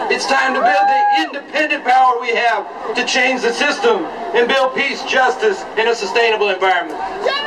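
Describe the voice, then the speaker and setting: Over crowd noise, a man with an extremely high pitch uses a raised, projected voice at a moderate pace, his intonation lively and his loudness very even. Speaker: political activist speaker. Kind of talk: rally speech. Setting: outdoor rally with crowd. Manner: forceful, declamatory, rhythmic repetition; animated, crowd-addressing. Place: street. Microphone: podium.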